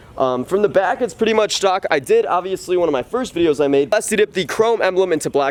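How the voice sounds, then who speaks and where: Over music in the background, a man with a high pitch speaks at a very fast pace in an animated tone with lively intonation. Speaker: car vlogger. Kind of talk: casual walkaround tutorial.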